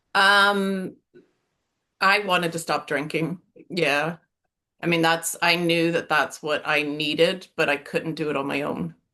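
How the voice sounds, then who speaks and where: Talking with an American accent, a woman with a fairly low pitch and a bright, sharp tone keeps fairly even intonation at a fairly slow pace, with long, frequent pauses. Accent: sounds American. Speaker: coaching client. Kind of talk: interview testimony. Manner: halting, many fillers.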